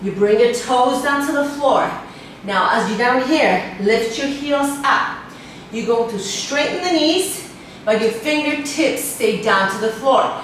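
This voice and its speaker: A woman speaks at a very slow pace. Strong room echo and light background noise surround her voice. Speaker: fitness instructor. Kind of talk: workout instruction. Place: home room.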